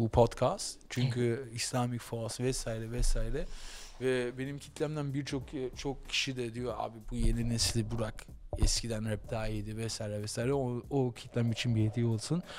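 A man talks at a moderate pace with fairly even intonation. Light background noise is present. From Germany, Berlin; Germany. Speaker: podcast host. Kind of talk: casual chat. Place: studio. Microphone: studio mic.

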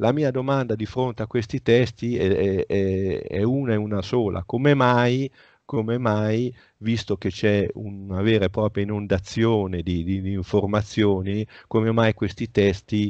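Against a quiet background, a man with a fairly low pitch speaks at a fairly slow pace with fairly even intonation, the sound dry with no echo. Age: 60s. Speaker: author; interviewee. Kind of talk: interview. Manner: halting. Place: home room. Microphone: headset.

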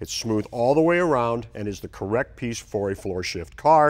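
A man speaks at a fairly quick pace against a quiet background. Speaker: TV car restoration host. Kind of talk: tutorial. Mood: relaxed, joking. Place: garage.

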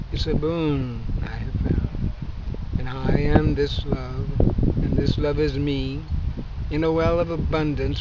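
Over loud background noise, a man talks at a very slow pace in a dry sound with no echo. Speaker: poet. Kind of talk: poetry reading. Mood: calm, warm, reflective. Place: garden.

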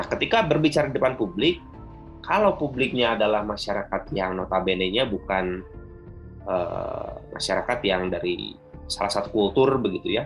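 Someone talks at a moderate pace while faint music plays in the background. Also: man. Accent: West Javanese. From Sundanese. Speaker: workshop presenter. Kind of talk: formal public speaking. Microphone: video call.

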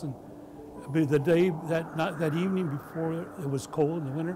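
Clear music plays behind a man with an American accent. He talks at a fairly slow pace in a fairly high pitch, with ordinary pitch variation. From El Toro, Orange County, California. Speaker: oral history interviewee. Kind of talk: oral history interview answer. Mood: warm, nostalgic. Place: home room.

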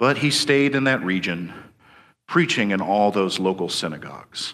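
The man's tone comes across bright and sharp. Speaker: preacher. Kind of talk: sermon.

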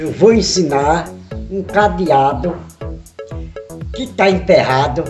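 Clear music sits in the background as a man speaks at a very slow pace. His voice is fairly high in pitch, with lively intonation. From Pernambuco, Brazil. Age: 60s. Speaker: retiree. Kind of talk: home how-to demonstration. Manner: casual, repetitive. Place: home room. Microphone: phone near.

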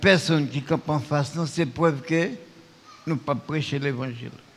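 This man speaks at a very slow pace. His pitch is fairly high. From Haiti. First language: Haitian Creole (speaking French). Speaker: pastor; preacher. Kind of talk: sermon. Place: church. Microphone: lapel.

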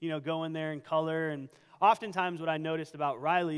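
The background is quiet behind a man's voice. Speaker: pastor. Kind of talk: sermon. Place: church. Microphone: headset.

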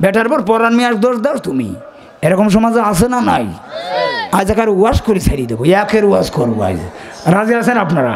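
Loud and animated, a man talks at a high pitch with lively intonation over noticeable background noise. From Bangladesh. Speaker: Islamic preacher. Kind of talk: sermon. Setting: stage with audience. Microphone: podium.

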